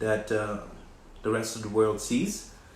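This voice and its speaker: With a French accent, a man speaks at a fairly slow pace amid audible room echo. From West Africa. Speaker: recording artist and designer hosting a livestream. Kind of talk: live social media talk. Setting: livestream.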